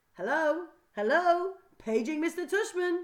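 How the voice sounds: Using a put-on character voice pitched extremely high, the man delivers his lines at a moderate pace.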